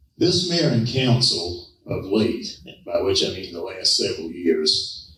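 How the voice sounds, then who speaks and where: Heard with audible room echo, a man speaks at a fairly slow pace in an American accent. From US South, Savannah, Georgia. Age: 70s. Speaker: political candidate. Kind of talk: campaign speech. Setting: public forum with audience. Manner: forceful.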